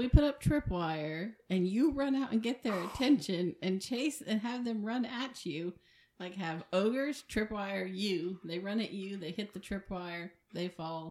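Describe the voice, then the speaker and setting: Using lively intonation, a woman with a normal speaking voice speaks at medium pitch and a fairly slow pace. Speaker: tabletop game player. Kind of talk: casual game banter.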